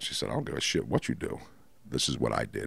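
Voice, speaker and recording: A man's voice with vocal fry. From Baltimore, Maryland. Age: 50s. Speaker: person in addiction recovery. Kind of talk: testimony. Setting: dining room at host's home. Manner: halting.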